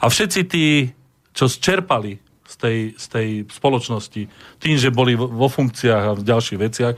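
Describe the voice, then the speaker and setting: A man with an unremarkable speaking voice, medium pitch, ordinary pitch variation and a moderate pace, on a very clean recording with a silent background. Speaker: historian and museum director. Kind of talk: radio discussion.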